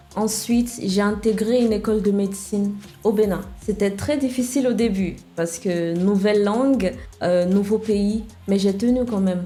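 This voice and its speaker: A woman with an English accent at a moderate pace and medium pitch, with fairly even intonation, audible room echo and noticeable background noise. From Nigeria. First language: English (speaking French). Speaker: web developer and founder. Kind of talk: podcast interview.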